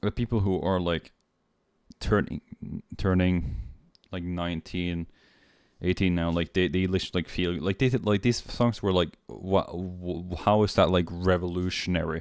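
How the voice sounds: At a moderate pace, a man speaks with low pitch, a slightly mellow tone and fairly even intonation on a very clean recording with a silent background.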